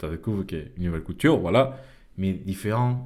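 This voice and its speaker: The man's voice has a dark, mellow tone. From Venezuela, Caracas. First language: Spanish (speaking French). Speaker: podcast host. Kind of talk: casual monologue. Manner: halting, many fillers and repetitions.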